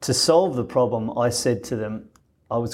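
This man speaks with an Australian accent at a moderate pace. His pitch is medium, with ordinary variation. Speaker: former business executive and humanitarian. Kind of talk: interview.

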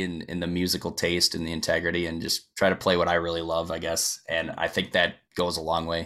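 With an Upper Midwest accent, a man speaks at a fairly quick pace. The recording is very clean, with a silent background. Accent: Upper Midwest American. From Wisconsin, US Midwest. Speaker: country singer-songwriter. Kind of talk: casual interview chat.

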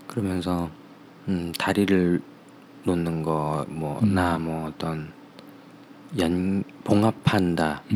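A man with a very deep, low pitch and fairly even intonation speaks very slowly, with long, frequent pauses. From Seoul. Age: 30s. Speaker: interview guest. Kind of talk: casual interview.

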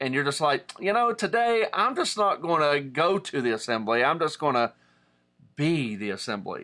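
With an Appalachian accent, a man speaks at a moderate pace in a bright, sharp tone. His fairly high voice makes very wide pitch swings. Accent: Appalachian American. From Southern West Virginia. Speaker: pastor. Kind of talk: online teaching. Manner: casual, with many fillers.

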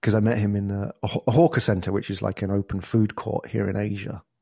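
A man with a southern English accent talks at a fairly quick pace and fairly low pitch with vocal fry. The sound is dry and close with no echo against a quiet background. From southern England. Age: 40s. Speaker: entrepreneur and podcast agency founder. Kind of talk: interview conversation.

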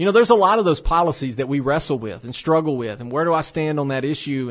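Lively intonation from a man with an unremarkable speaking voice, fairly high in pitch and fairly quick in pace. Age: 30s. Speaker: radio host and pregnancy center director. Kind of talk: radio talk monologue. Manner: frequent fillers and repetitions.

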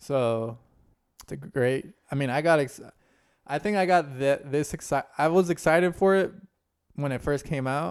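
A man with a fairly high pitch and ordinary pitch variation talks at a moderate pace, with big swings in loudness and long, frequent pauses. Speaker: podcast host. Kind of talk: casual chat. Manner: casual, joking.

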